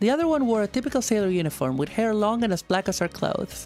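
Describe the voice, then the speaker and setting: Over music in the background, a woman talks at a very fast pace with very wide pitch swings. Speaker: streamer. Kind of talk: reading game text aloud.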